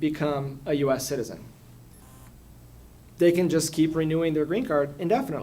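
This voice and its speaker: Ordinary pitch variation in a Portuguese accent. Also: man. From Brazil, São Paulo. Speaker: immigration lawyer. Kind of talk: public talk at community forum. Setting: community forum with audience.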